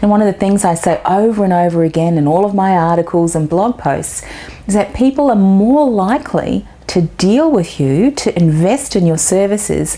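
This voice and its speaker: With an Australian accent, a woman speaks at a moderate pace and medium pitch, her intonation lively and her loudness very even, over noticeable background noise. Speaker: business marketing coach. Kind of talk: video tip talk to camera.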